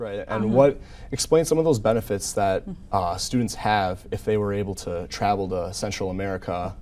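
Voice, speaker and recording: This voice has a dark, mellow tone and moves at a fairly quick pace. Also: man. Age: young. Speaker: student broadcaster. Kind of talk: TV interview questions. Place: studio. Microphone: lapel.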